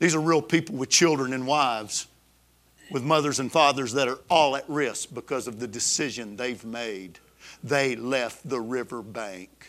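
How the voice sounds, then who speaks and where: In an Alabama accent, a man speaks at a medium pitch with ordinary pitch variation. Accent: Southern US (Alabama). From US South, Alabama. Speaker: pastor. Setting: church service with congregation. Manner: intense, emphatic, building crescendo that sounds almost angry; storytelling, conversational with fillers and restarts.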